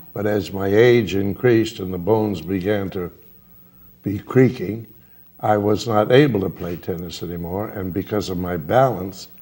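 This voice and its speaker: A man speaks at a moderate pace with a fairly low pitch. His tone is dark and mellow, with ordinary pitch variation. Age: 90s. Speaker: personal training client. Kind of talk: tv interview.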